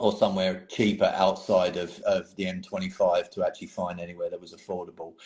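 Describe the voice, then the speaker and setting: A man with an English accent talks at a fairly quick pace with hardly any pauses and big swings in loudness. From England. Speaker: painting hobbyist. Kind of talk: casual chat.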